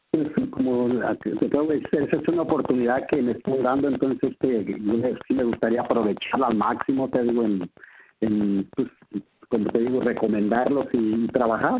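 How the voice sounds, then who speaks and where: This is a man with a normal speaking voice at medium pitch. He talks at a moderate pace with ordinary pitch variation. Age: 50s. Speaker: sales distributor. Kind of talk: interview. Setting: phone call.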